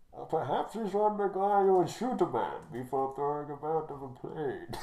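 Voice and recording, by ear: Someone does a put-on character voice at a middle pitch and a moderate pace, with clear background noise behind it.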